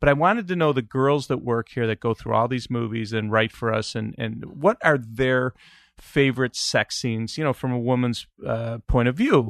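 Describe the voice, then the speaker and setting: A man at a medium pitch and moderate pace, in a dry, close sound with no echo against a quiet background. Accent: Chicago. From Chicago, US Midwest. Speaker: podcast host. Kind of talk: casual chat. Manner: halting, many fillers.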